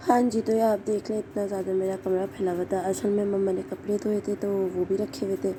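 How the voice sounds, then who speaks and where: A woman talks at a medium pitch and a moderate speed, her intonation flat and monotone. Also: hardly any pauses. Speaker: vlogger. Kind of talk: casual vlog.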